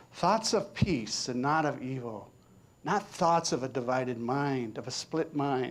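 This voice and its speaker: A man with a plain, everyday voice, pitched fairly high, speaks at a fairly slow pace with lively intonation in a very clean recording with a silent background. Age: 60s. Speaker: minister. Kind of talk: sermon. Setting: church.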